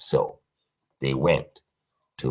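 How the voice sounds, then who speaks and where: A man speaks with vocal fry. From Germany. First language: German. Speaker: live streamer. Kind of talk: live stream monologue. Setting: live stream at home at night.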